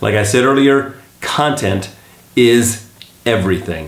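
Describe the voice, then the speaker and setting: This man's voice sits at a medium pitch with lively intonation. There is noticeable background noise. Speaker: video editor and voice actor turned real estate agent. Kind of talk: casual talk to camera, tutorial. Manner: conversational, friendly, informal.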